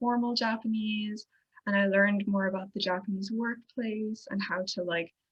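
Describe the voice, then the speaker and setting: At a moderate pace, a woman with an Irish Midlands accent speaks in a medium pitch with fairly even intonation. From Ireland, County Longford. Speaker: international relations coordinator. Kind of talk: presentation. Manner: casual, hesitant with fillers.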